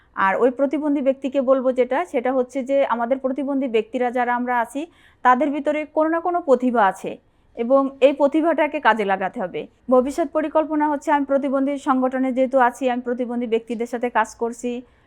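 High female speech, ordinary in its pitch variation. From Bangladesh, Jessore (southwest). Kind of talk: interview testimony.

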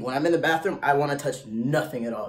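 Lively intonation marks this man's voice. He speaks at a moderate pace. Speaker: vlogger giving advice. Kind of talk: casual vlog chat.

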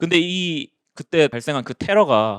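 A man's fairly high voice with very wide pitch swings, dry and close with no echo, in a very clean recording with a silent background. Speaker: exam prep instructor. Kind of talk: lecture. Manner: casual conversational.

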